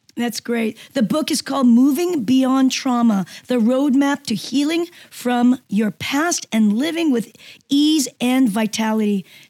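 At a fairly slow pace, a woman speaks with a high pitch, a dark, mellow tone and ordinary pitch variation, the sound dry and close with no echo. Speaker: health radio host. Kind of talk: radio interview. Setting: radio show.

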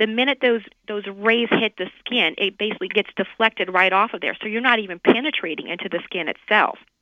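An ordinary speaking voice from a woman with an American accent, fairly high pitch, ordinary pitch variation, a fairly quick pace and hardly any pauses. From US South, New Orleans. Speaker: dermatologist. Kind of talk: radio interview.

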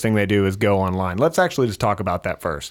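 With a plain, everyday voice, a man of fairly low pitch and ordinary pitch variation is heard on a very clean recording with a silent background. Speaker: podcast host. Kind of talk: interview. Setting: studio.

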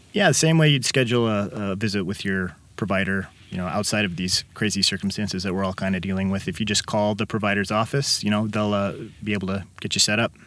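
A man with a Midwestern American accent talks at a very fast pace in a fairly low pitch, with ordinary pitch variation, on a very clean recording with a silent background. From Illinois, Kankakee. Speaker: physician. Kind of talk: interview. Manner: hesitant, many fillers.

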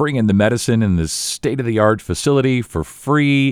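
A man with an unremarkable speaking voice uses lively intonation at a moderate speed, the recording very clean and the background silent. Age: 50s. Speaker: podcast host. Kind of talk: interview.

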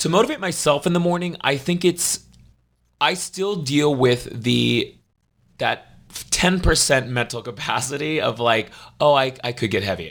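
With vocal fry and lively intonation, a man speaks in a fairly high pitch, his loudness swinging widely. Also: moderate pace. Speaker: opera singer and fitness trainer. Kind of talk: interview.

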